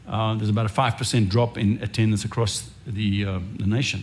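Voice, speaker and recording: At a moderate pace, a man speaks in a medium pitch that sounds somewhat breathy. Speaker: pastor. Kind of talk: sermon. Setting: church.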